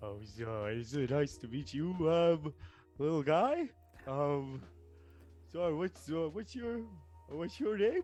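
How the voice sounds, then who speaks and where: Doing a put-on character voice at a fairly high pitch, a man speaks at a fairly slow pace with long, frequent pauses, faint music in the background. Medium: actual play. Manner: rambling, hesitant, easygoing.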